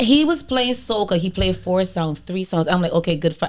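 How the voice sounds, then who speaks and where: A woman is speaking. She has a strong Barbadian accent. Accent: Bajan, strong. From Caribbean, Barbados. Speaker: podcast co-host and party promoter. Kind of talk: casual chat. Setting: studio. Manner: animated.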